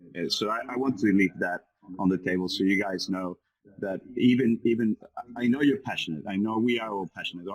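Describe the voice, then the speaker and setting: A man with a Spanish accent and fairly low pitch speaks at a moderate pace with ordinary pitch variation, in a dry, close sound with no echo. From Venezuela. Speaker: business forum participant. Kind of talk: group discussion.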